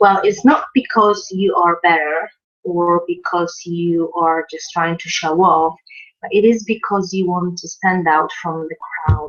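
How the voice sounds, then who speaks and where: With a Polish accent, a woman speaks fairly slowly at a fairly low pitch, varying it in an ordinary way. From Poland. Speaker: online marketing coach. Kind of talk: video tutorial. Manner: halting, many fillers.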